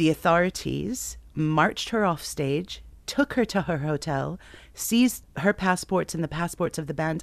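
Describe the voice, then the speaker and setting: A woman speaks at a moderate pace in a very deep, low voice with vocal fry and lively intonation. The background is quiet. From New Jersey. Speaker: DJ and presenter. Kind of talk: interview.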